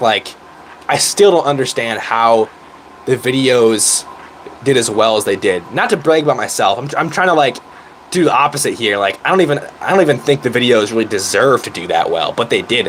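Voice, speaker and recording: A man talks at a fairly quick pace with lively intonation and medium pitch. Noticeable background noise is present. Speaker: YouTuber. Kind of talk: casual chat. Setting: live stream. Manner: animated.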